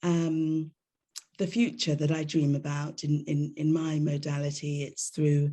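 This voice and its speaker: In a British accent, a woman speaks at a fairly slow pace with a very deep, low pitch and a dark, mellow tone. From England. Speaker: drama therapist. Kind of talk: panel discussion.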